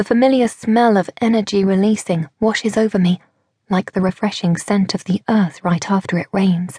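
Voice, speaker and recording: A woman's somewhat breathy, animated voice at very even loudness, in a dry, close sound with no echo. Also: medium pitch for a woman, moderate pace. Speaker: audiobook narrator. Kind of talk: audiobook narration, dramatic first-person fiction. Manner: animated, breathless and urgent in action scenes, with character voices.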